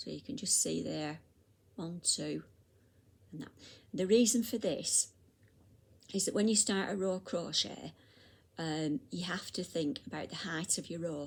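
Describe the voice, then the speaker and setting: With vocal fry and lively intonation, a woman speaks fairly slowly in a fairly low pitch, leaving long, frequent pauses. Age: 60s. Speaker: crochet teacher. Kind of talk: tutorial. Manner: halting.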